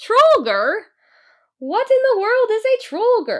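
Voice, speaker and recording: A woman puts on a squeaky character voice at an extremely high pitch, speaking fairly slowly. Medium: read story.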